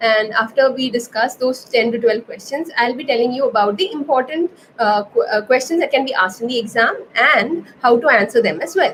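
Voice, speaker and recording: A woman with an Indian accent, high-pitched, at a fairly quick pace with ordinary pitch variation, over noticeable background noise. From India, Kerala-born, raised in Navi Mumbai. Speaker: anatomy educator, health science student. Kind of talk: livestream Q&A tutorial. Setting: live stream. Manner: hesitant, many fillers.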